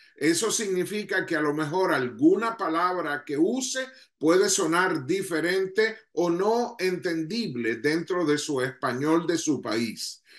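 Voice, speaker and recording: With a Venezuelan accent, a man speaks at a very slow pace but with hardly any pauses. His voice is high-pitched, and his intonation is lively. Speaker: ministry leader. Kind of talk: leadership talk to online audience.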